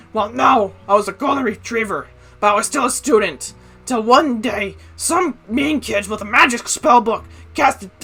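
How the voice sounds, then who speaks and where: A put-on character voice sounds strained and fairly high in pitch, moving at a moderate pace. Faint music plays in the background. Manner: playful, theatrical.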